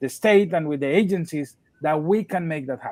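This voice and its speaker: In a dry, close recording with no echo, a man with a dark, mellow tone talks at a moderate pace with ordinary pitch variation. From Colombia. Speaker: nonprofit leader, panelist. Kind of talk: panel discussion webinar. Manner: halting, repetitive starts.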